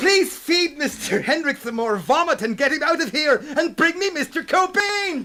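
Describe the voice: A man puts on a character voice, pitched extremely high, with a bright, sharp tone and lively intonation. He moves at a moderate pace over faint background noise.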